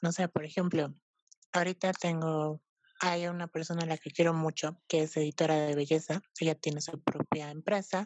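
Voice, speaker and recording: Her pitch sits very deep and low. The woman's delivery stays flat and monotone. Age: 20s. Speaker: art historian and fashion stylist. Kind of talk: casual chat.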